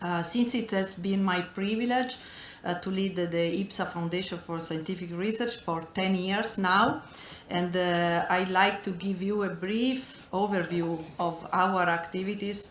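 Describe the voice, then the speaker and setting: With a non-native accent and fairly even intonation, a woman speaks at medium pitch over audible room echo and noticeable background noise. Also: fairly slow pace. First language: not English. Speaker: foundation director. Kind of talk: welcome speech. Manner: reading from notes.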